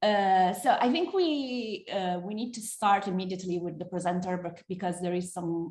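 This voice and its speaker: A woman with an Italian accent, somewhat breathy and medium in pitch, at a moderate pace with ordinary pitch variation. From Italy. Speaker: moderator. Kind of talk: moderating, reading bio.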